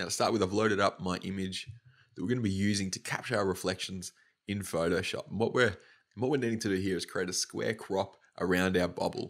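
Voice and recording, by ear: Here a man speaks at a fairly quick pace. His pitch is low and his intonation fairly even.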